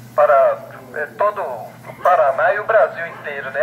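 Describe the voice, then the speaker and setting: A man over noticeable background noise. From Brazil. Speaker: ham radio operator. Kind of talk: radio conversation. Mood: friendly, congratulatory. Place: bar.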